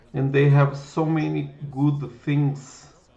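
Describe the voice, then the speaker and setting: A man with a Brazilian Portuguese accent speaks very slowly, his voice somewhat breathy and fairly high for a man. Room echo is audible. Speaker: programming livestreamer. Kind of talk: live coding stream chat. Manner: halting, with repetitions.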